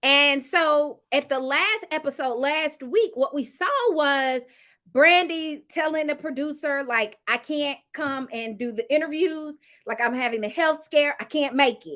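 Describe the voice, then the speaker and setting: A woman talks loudly in a high pitch with a bright, sharp tone. Her pitch varies an ordinary amount, and her pace is fairly slow. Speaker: YouTuber reviewing reality TV. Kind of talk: casual review monologue.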